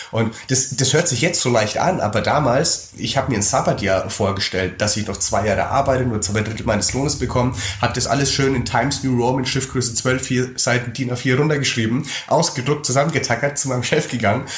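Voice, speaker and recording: A man of medium pitch at a fairly quick pace, with ordinary pitch variation and hardly any pauses, amid audible room echo and noticeable background noise. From Germany, Würzburg (Lower Franconia). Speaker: travel author and speaker. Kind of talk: casual interview.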